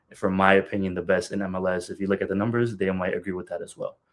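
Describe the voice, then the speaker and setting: This man speaks with a fairly low pitch. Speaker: soccer podcast host. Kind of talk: solo podcast commentary. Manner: fast; animated.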